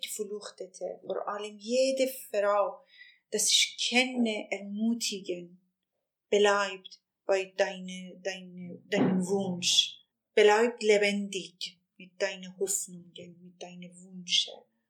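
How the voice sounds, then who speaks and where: With a Persian accent, a woman speaks very slowly at a medium pitch. Her intonation stays fairly even, but her loudness swings a lot. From Iran. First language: Persian (speaking German). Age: 50s. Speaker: journalist. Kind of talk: interview testimony.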